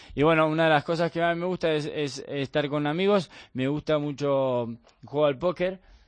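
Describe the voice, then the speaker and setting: With an Argentine accent, the speaker keeps a moderate pace and fairly even intonation against a quiet background. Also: man, fairly high pitch for a man. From Argentina, Bahía Blanca. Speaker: professional padel player. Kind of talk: interview. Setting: studio.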